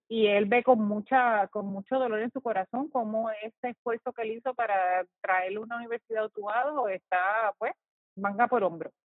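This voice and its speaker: A woman's fairly high voice at a moderate pace with fairly even intonation over music in the background. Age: old. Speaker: podcast host. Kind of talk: casual interview.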